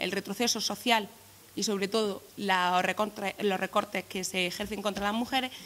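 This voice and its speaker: Bright and sharp in tone, a woman speaks at a fairly quick pace in a medium pitch with fairly even intonation. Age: 20s. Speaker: youth political activist. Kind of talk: press conference statement. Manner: halting, many repetitions.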